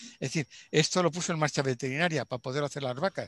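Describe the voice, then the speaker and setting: Speaking at a very fast pace, a man sounds dry and close with no echo against a quiet background. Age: 70s. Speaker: doctor. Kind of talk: interview. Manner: animated.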